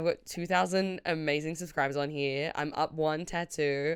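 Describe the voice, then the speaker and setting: With an Australian accent, a woman speaks at a moderate pace in a fairly low pitch. Her tone is animated, and the recording is very clean with a silent background. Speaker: comedian. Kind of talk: casual vlog. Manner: loud.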